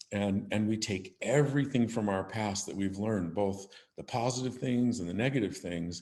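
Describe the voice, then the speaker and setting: In an ordinary speaking voice, a man with a fairly low pitch talks at a moderate pace with ordinary pitch variation. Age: 60s. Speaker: business CEO and podcaster. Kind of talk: casual interview chat.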